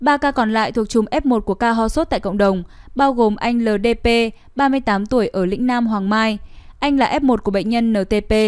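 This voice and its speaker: At a moderate pace, a woman uses an ordinary speaking voice with a fairly high pitch, ordinary pitch variation and very even loudness. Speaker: news reader. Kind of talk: news reading. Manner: formal.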